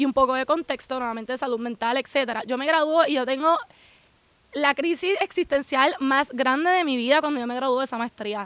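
A woman speaks at a fairly quick pace in a high voice with ordinary pitch variation. The sound is dry and close, with no echo. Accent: Puerto Rican. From Puerto Rico. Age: 20s. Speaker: social media creator living abroad. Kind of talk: casual interview. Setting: outdoors at a house in the countryside.

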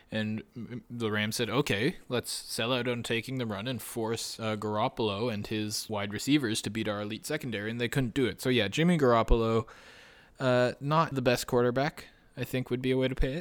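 On a very clean recording with a silent background, a man with a Canadian accent talks at a fairly quick pace in an ordinary speaking voice, with medium pitch and fairly even intonation. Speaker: sports podcast co-host. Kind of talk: casual chat.

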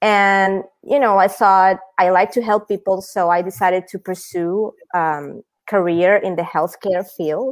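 A woman with a Spanish accent speaks at a fairly slow pace. Her pitch is medium and her intonation fairly even. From Venezuela. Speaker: startup founder. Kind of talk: interview.

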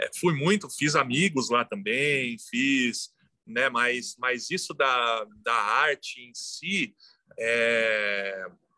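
In a bright, sharp tone with lively intonation, a man speaks at a very slow pace and a medium pitch. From São Paulo, São Mateus (east zone). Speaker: graffiti artist and muralist. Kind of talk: casual interview. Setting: remote call from home balcony.

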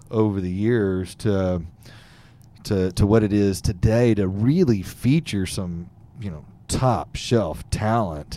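Very slowly and with a Texan accent, a man speaks in a fairly low, dark, mellow voice with ordinary pitch variation. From Texas, Fort Bend County near Houston. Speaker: podcast host. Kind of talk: casual interview. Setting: studio, live streamed.

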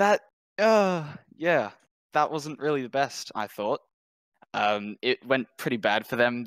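Lively intonation and a bright, sharp tone carry an Australian accent at a fairly slow pace. The sound is dry and close, with no echo. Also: man. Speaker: caller. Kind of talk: call-in discussion.

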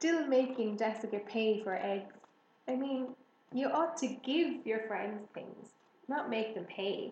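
The voice heard here is a natural reading voice.

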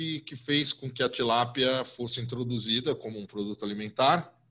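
A man with a São Paulo accent talks at a moderate pace with lively intonation. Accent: Paulistano Brazilian Portuguese. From Brazil, São Paulo. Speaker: food podcast host and columnist. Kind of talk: casual interview.

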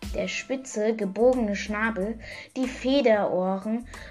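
The pitch varies in an ordinary way throughout this plain reading aloud.

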